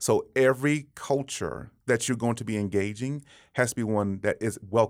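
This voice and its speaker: In a very clean recording over a silent background, a man with an American accent and an unremarkable speaking voice talks at medium pitch and a moderate pace, his intonation fairly even. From Texas, Dallas. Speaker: pastor. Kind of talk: interview conversation.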